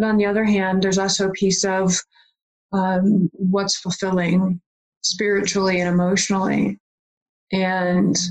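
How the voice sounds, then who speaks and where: A medium-pitched woman with an Upper Midwest accent. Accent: Upper Midwest American. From Michigan, small town. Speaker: life coach and hypnotist. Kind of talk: interview. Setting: home office.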